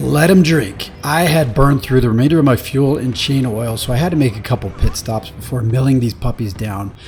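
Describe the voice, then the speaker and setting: Music plays in the background as a man speaks at a fairly quick pace with lively intonation. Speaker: woodworking video maker. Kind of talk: scripted narration.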